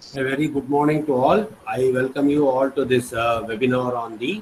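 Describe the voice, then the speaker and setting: Medium-pitched male speech with ordinary pitch variation, moderate in pace, noticeable background noise around it. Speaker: head of a university department. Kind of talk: formal welcome address. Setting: video call.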